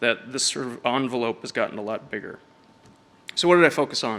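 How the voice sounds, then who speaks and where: Bright, sharp male speech at a medium pitch. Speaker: design technology director giving a conference talk. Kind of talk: conference presentation. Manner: fast.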